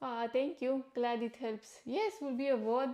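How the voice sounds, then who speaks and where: A woman with a non-native accent speaks at a fairly high pitch. Her pace is fairly slow and her intonation fairly even. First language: not English. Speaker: livestreamer and nutritionist. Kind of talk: casual livestream talk. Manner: halting.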